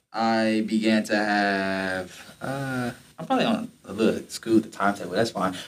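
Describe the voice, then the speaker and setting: An American accent marks this man's unremarkable speaking voice, which has a fairly low pitch and fairly even intonation. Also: moderate pace. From Detroit, Michigan. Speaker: podcast host, university student. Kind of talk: casual chat, faith testimony.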